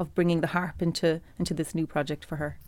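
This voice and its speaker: The background is silent on this very clean recording. A woman speaks very fast. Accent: Cork. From Ireland, Cork. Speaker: composer. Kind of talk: interview. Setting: studio.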